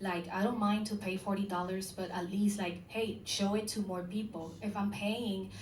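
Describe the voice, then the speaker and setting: A woman at a medium pitch speaks at a moderate pace with monotone, flat intonation and hardly any pauses. Noticeable background noise and audible room echo fill the recording. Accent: Spanish. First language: Spanish. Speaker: musician. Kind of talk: panel discussion. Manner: halting.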